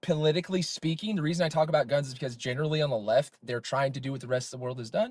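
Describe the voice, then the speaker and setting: A man's animated, somewhat breathy voice, fairly high in pitch, at a very fast pace. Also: ordinary pitch variation, hardly any pauses. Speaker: streamer. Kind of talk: heated debate. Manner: interrupting.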